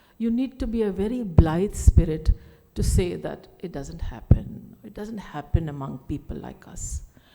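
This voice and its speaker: Over noticeable background noise, a woman talks at a moderate pace while her loudness swings widely. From India, Delhi. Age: 60s. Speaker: writer and speaker. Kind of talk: conference talk.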